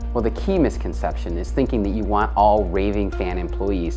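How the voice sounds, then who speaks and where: A man's very deep, low voice with fairly even intonation at a moderate pace, music playing behind it. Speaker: motivational speaker. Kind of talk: motivational talk to camera.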